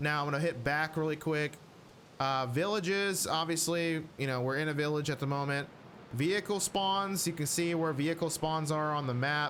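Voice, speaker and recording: With a normal speaking voice, a man talks at a fairly high pitch with fairly even intonation. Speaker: gaming youtuber. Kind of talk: tutorial. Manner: casual, filler words.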